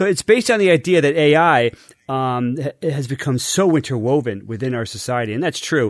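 This man has a normal speaking voice, fairly high in pitch with ordinary variation. He talks at a fairly quick pace. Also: quiet background. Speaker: podcast co-host. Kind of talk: casual chat.

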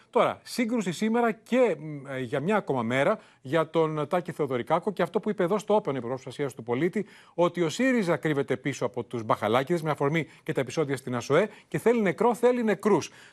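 A man's high voice with very wide pitch swings at a fairly quick pace, dry and close with no echo, over a quiet background. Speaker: news anchor. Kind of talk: news reading. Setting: studio. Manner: formal.

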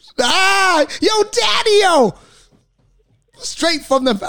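Pitch swings very wide as a man talks at a very slow pace in a bright, sharp tone. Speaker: radio host. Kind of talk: casual chat. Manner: animated.

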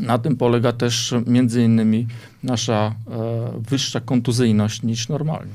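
With noticeable background noise, a man of medium pitch speaks at a fairly slow pace in a monotone, flat intonation. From Armenia. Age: 40s. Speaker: business manager and amateur crossfit athlete. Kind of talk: casual interview.

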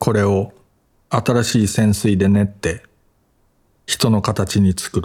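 A somewhat breathy voice speaks at a very slow pace, with long, frequent pauses and fairly even intonation. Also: man, fairly low pitch for a man. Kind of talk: audiobook reading of literary essay. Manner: even, measured, calm narrating pace.

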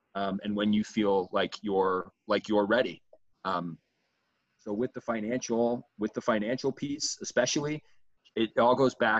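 A man with an American accent in an ordinary speaking voice, fairly low pitch, moderate pace, and a dry, close sound with no echo. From US Midwest. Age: 20s. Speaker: student and gap year advocate. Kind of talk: interview conversation.

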